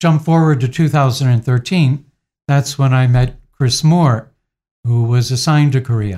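A man speaks at a moderate pace with a somewhat breathy, dark, mellow tone, medium pitch, ordinary pitch variation and very even loudness. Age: 60s. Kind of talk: interview. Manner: halting.

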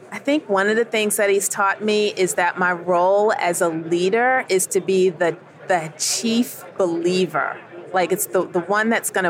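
Speaking with an American accent in an ordinary speaking voice, a woman at a medium pitch talks at a fairly slow pace with ordinary pitch variation. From New York, Queens. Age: 50s. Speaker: ministry executive director. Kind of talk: radio interview. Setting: convention broadcast booth.

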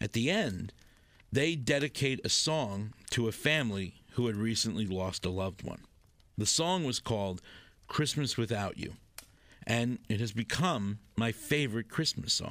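A man with an unremarkable speaking voice talks at a medium pitch and a moderate pace, with lively intonation. The recording is very clean, with a silent background. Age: 40s. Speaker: podcast narrator. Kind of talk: scripted narration.

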